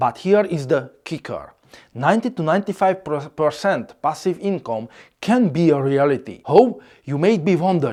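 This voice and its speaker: A moderate pace with a non-native accent. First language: Hungarian. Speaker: content creator. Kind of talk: scripted narration.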